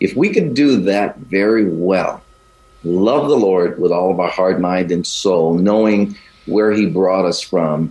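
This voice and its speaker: A man's fairly low voice with an American accent, ordinary pitch variation and very even loudness over noticeable background noise. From US South. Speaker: pastor. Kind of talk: radio interview.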